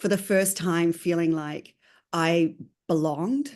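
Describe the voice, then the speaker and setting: Against a quiet background, a woman with a strong New Zealand accent speaks fairly slowly at a medium pitch with ordinary pitch variation. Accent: New Zealand, still pretty strong. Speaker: consultant. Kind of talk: interview.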